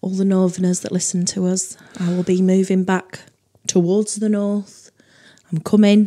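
Speaking with a northern English accent, a woman uses a medium pitch and a dark, mellow tone. Her pace is moderate. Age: 30s. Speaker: comedy podcast co-host. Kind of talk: casual chat. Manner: animated, laughs often.

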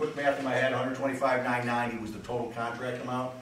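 With light background noise and audible room echo, a man talks at a moderate pace. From Western New York; New York State. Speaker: town attorney presenting at a public hearing. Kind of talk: public meeting presentation. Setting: public hearing at a fire company. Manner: halting, many fillers.

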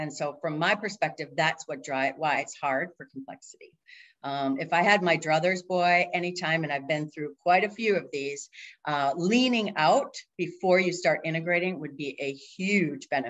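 With an American accent and an enthusiastic tone, a woman of fairly low pitch speaks with ordinary pitch variation and big swings in loudness against a quiet background. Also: moderate pace. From Minnesota (Minneapolis). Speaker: agile coach and consultant; agile coach. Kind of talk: presentation. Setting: video call. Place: home room. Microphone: webcam.

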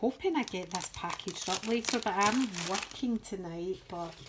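A woman speaks fairly slowly in a Scottish accent. Light noise sits in the background. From Scotland. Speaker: crafting YouTuber. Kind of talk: show-and-tell tutorial. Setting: home craft table. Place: home room. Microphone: phone near.

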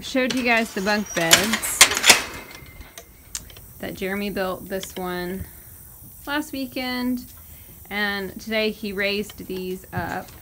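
Very slow speech with ordinary pitch variation over loud background noise. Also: woman. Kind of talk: casual vlog chat. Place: farm machine. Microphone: phone near.

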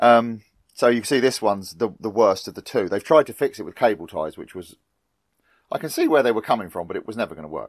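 A man speaks very fast, and the background is quiet. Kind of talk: tutorial. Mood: light-hearted, joking. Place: workshop. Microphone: lapel.

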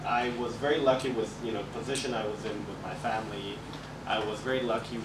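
Heavy background noise sits under speech delivered at a moderate pace. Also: man. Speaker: guest. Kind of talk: interview answer. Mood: reflective, relaxed. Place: classroom.

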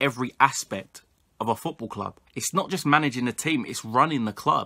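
A man with a bright, sharp tone, a fairly quick pace and ordinary pitch variation, against a quiet background. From England (London area). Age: 20s. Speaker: football YouTuber. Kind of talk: solo opinion vlog. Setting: home recording to camera. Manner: animated. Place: home room. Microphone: webcam.

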